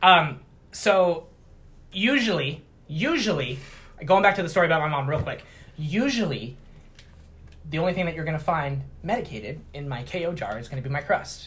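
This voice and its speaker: A man's fairly high voice with lively intonation and big swings in loudness, at a moderate pace broken by long, frequent pauses, in a room with audible echo. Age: 30s. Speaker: baker and edibles business owner. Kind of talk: casual chat.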